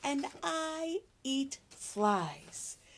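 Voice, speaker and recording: Using a put-on character voice, a woman speaks with a high pitch. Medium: read story. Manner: storybook read-aloud for preschoolers.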